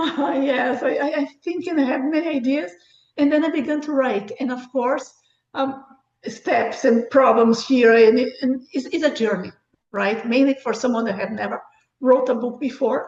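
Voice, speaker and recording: Speaking with a non-native accent, a woman keeps a moderate pace. Her pitch is high. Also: ordinary pitch variation. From Brazil. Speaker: author and book review site founder. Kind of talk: interview.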